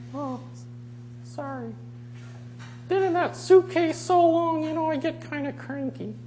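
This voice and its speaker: A put-on character voice moves at a moderate pace with long, frequent pauses amid clear background noise. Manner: cranky, cheeky.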